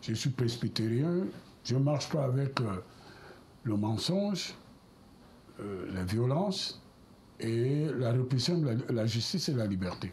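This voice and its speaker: A man speaks at a fairly slow pace with a dark, mellow tone. His intonation is lively and his voice is somewhat breathy. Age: 70s. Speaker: politician. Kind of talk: televised political debate. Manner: hesitant, with fillers.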